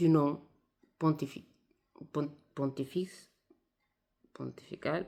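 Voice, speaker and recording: This woman speaks at a very slow pace. Her pitch is very deep and low. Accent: Italian. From Italy. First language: Italian (speaking French). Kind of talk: video monologue. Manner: hesitant, many fillers.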